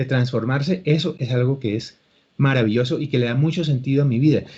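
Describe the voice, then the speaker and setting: A man's very fast, somewhat breathy speech, fairly high in pitch, with a dark, mellow tone. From Colombia. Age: 60s. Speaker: actor and acting teacher. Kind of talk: interview.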